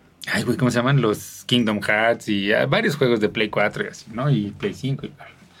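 At a moderate pace with hardly any pauses, a man speaks at a medium pitch with ordinary pitch variation and big swings in loudness. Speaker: podcast co-host. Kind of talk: casual chat. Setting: video podcast recording.

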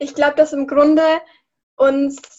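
A woman's high-pitched voice with monotone, flat intonation. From Lower Bavaria, Germany. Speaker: climate activist. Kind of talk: interview. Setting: video call.

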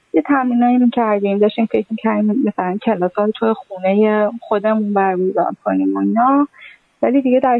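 Fairly high in pitch, a woman uses a plain, everyday voice with ordinary pitch variation. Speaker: former dance student. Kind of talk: personal storytelling.

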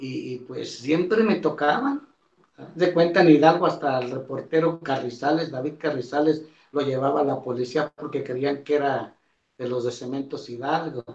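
Here is a man with an unremarkable speaking voice at a fairly high pitch. He keeps a moderate pace with ordinary pitch variation. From Mexico, Coahuila. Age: 60s. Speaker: retired photographer and deacon. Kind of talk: testimony.

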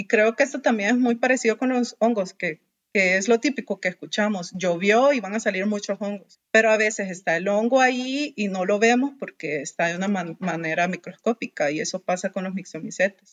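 A woman talks at a fairly quick clip with hardly any pauses. Her pitch is medium, with ordinary variation. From Honduras, Tegucigalpa. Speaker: biologist. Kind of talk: interview.

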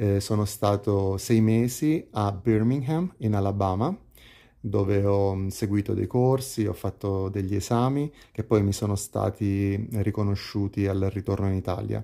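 At a fairly slow pace, the voice carries a dark, mellow tone and fairly even intonation. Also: man, fairly low pitch for a man. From Italy, Pescara (Abruzzo). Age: 30s. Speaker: hotel receptionist. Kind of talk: casual interview. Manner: hesitant, with fillers and repetitions.

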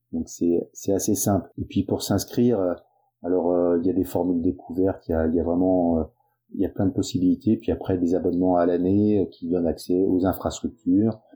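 Moderately paced speech from a man with a very deep, low pitch and fairly even intonation. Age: 50s. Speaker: tennis club president. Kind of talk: testimony. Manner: halting.

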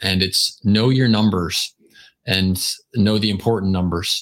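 A man's ordinary speaking voice, fairly low in pitch with ordinary pitch variation, on a very clean recording with a silent background. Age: 50s. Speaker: best-selling author. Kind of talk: casual chat.

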